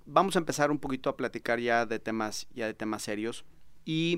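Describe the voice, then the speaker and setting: A man with a Mexican accent speaks at a moderate pace, his medium pitch rising and falling in an ordinary way. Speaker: podcast host. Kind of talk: interview. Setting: studio.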